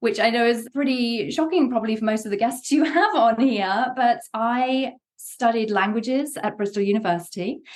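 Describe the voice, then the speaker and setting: Speaking at a moderate pace with hardly any pauses, a woman with an English accent uses a fairly high voice and ordinary pitch variation. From England, Worcester. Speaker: game studio co-founder and producer. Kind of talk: podcast interview.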